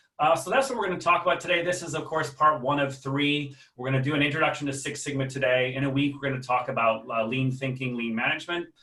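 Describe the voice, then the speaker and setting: A man with an American accent and a fairly high pitch talks at a very fast pace with hardly any pauses. His intonation is fairly even, and audible room echo is present. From United States. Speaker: management consultant and trainer. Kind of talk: webinar lecture. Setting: video call webinar. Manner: hesitant, many fillers; casual, humorous.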